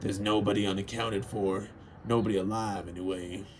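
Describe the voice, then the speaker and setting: A man puts on a gruff, raspy character voice at a fairly low pitch, speaking in a flat monotone. He talks at a fairly quick pace over clear background noise. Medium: read story. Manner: gruff, irritable.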